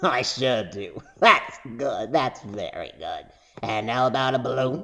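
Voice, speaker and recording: Using a put-on character voice, a man speaks at a fairly slow pace and a medium pitch. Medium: read story. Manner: sing-song luring.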